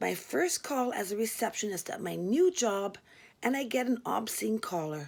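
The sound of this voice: An unforced reading voice carries the whole clip.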